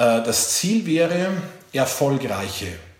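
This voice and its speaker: Noticeable background noise and audible room echo surround the voice. A man speaks with lively intonation. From Bavarian Forest, eastern Bavaria. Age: 40s. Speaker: leadership coach and speaker. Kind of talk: talk to career advisors.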